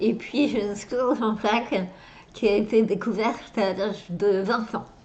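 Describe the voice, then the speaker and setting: Speaking at a fairly slow pace, a woman with an unremarkable speaking voice has a fairly high pitch and fairly even intonation. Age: 30s. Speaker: actress. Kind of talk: interview answer.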